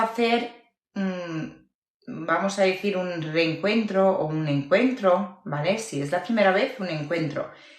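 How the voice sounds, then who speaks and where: A woman's lively intonation at a medium pitch, a fairly slow pace, and audible room echo. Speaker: eyelash extension teacher. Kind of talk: live tutorial.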